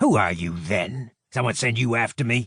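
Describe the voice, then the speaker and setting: Growling in a put-on character voice, a man speaks at a medium pitch and a moderate pace. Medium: read story. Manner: coarse, threatening.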